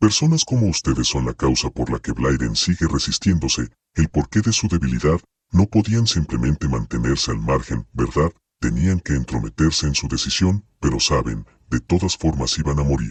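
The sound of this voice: In a put-on character voice, a man growls at an extremely low pitch with a husky, rough edge and lively intonation, the sound dry and close with no echo. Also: moderate pace.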